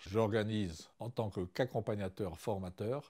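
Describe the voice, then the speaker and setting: Against a quiet background, a man with a fairly low pitch and a dark, mellow tone speaks at a fairly slow pace. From Madagascar. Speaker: chemical engineer and ecotourism guide. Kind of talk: interview testimony. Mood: warm, smiling, calm. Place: home room. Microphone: lapel.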